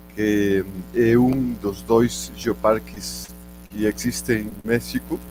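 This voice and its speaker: With music playing in the background, a man talks with a Spanish accent. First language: Spanish (speaking Portuguese). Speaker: geology professor. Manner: slow; halting, many fillers.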